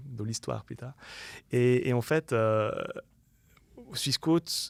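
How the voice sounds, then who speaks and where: A man speaks at a very slow pace, with long, frequent pauses. The sound is dry and close with no echo, and the recording is very clean with a silent background. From Switzerland, Lausanne-Morges region. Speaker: UX designer and entrepreneur. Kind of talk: podcast interview. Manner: animated, many fillers.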